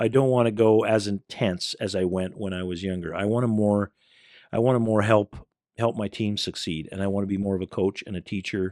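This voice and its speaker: An ordinary speaking voice, this man talks at a fairly quick pace with a Canadian accent, fairly low pitch and fairly even intonation, in a dry, close sound with no echo. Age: 60s. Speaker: community leader and youth organization founder. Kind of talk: podcast interview.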